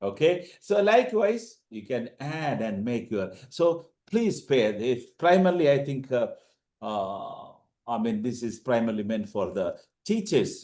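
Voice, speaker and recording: Speaking fairly slowly with a Keralite accent, a man with a medium-pitched voice and a dark, mellow tone makes very wide pitch swings. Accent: Indian (Keralite). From India, Kerala. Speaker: teacher / language trainer. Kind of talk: online orientation lecture. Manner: halting, many fillers.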